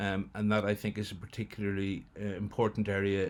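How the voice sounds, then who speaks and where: With a Northern Irish accent, a man talks in a monotone, flat intonation at a fairly low pitch. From Northern Ireland. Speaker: international development project leader. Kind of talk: recorded welcome address. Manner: hesitant, many fillers.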